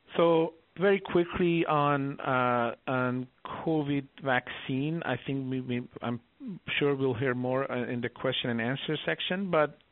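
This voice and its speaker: This man talks fairly slowly, his fairly high voice showing ordinary pitch variation. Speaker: oncologist, researcher. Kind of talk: expert presentation. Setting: phone conference. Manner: halting, with fillers.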